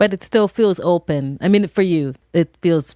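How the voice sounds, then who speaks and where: Recorded very cleanly against a silent background, with a dry, close sound and no echo, a woman uses an ordinary speaking voice at a fairly low pitch with ordinary pitch variation. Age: 50s. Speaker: podcast host. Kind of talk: podcast interview.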